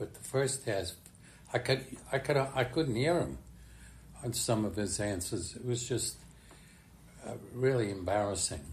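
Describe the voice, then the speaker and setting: Vocal fry marks this man's medium-pitched voice as he speaks at a moderate pace with lively intonation. He takes long, frequent pauses. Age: 90s. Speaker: retired politician. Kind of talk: casual chat. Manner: halting.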